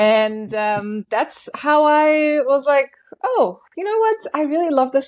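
A German-accented woman's voice. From Germany, small town. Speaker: hypnotherapist. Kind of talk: interview.

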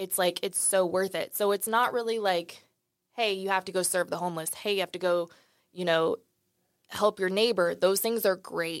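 A woman speaks in an ordinary speaking voice at a moderate pace, her medium pitch carrying fairly even intonation in a dry, close sound with no echo. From Dallas, Texas. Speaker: company people and culture director. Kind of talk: casual interview chat. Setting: studio.

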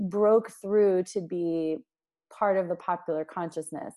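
Speaking fairly slowly with an American accent, a woman has an unremarkable speaking voice of medium pitch and ordinary pitch variation. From US, Washington DC. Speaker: author and nonprofit CEO. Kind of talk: interview.

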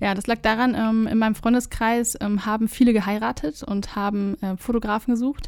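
Her voice is a woman's, fairly high in pitch, with fairly even intonation. The recording is very clean, the background silent. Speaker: videographer. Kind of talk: casual chat. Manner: calm.

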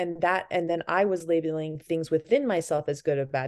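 An unremarkable speaking voice from a woman with an American accent, fairly low in pitch, with ordinary pitch variation, at a moderate pace, over a quiet background. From Massachusetts, US. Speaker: beauty brand founder. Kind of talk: casual interview.

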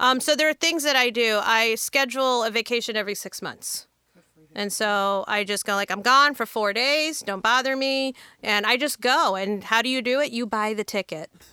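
In a normal speaking voice, a woman talks at a moderate pace and a fairly high pitch. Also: ordinary pitch variation. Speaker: restaurateur. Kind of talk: casual panel interview. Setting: studio.

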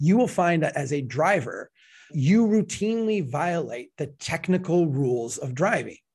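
With an American accent, a man talks at a fairly slow pace in a high voice. His tone is animated and his intonation lively. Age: 40s. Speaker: civil engineer and author. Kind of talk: interview. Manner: animated, frequent self-repetitions.

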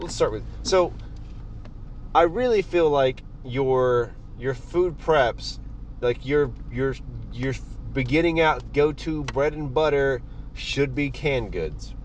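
Amid noticeable background noise, a man with an American accent speaks very slowly with long, frequent pauses. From US South. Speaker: podcast host. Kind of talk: casual monologue. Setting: in a car. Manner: casual, filler-heavy. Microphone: phone recording.

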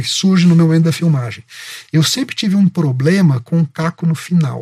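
In a dry, close recording with no echo, a man talks at a very fast pace with a high pitch and a dark, mellow tone. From Minas Gerais, Brazil (Itajubá). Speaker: advertising copywriter. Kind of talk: interview.

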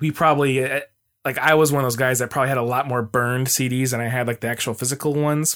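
A man with an American accent has a normal speaking voice at medium pitch with ordinary pitch variation. The recording is very clean, with a silent background. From Arizona, Mesa. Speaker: podcaster and music fan. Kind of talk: casual chat.

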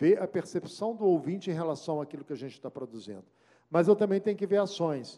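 This man's voice has a dark, mellow tone. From Belo Horizonte, Minas Gerais, Brazil. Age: 60s. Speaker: radio journalist and news director. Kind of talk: lecture.

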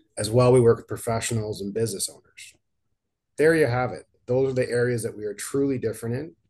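A man talks very fast at a medium pitch. His intonation stays fairly even. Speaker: financial advisor and podcast host. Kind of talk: scripted announcement. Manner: monotone.

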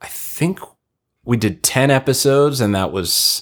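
In a very clean recording with a silent background, a man with an American accent speaks at medium pitch with vocal fry and very wide pitch swings. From US Northeast, Long Island (Ronkonkoma). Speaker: TV and film comedy writer. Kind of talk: casual chat. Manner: animated.

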